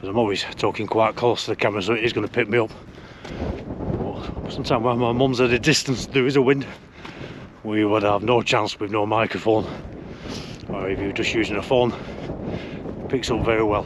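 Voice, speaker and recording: A man with a strong Lancashire accent speaks at a medium pitch and a fairly quick pace, with fairly even intonation and long, frequent pauses. Noticeable background noise runs underneath. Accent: strong local Lancashire. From northern England, Lancashire. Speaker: hiking vlogger. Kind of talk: casual vlog talk to camera. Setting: outdoors on a hill.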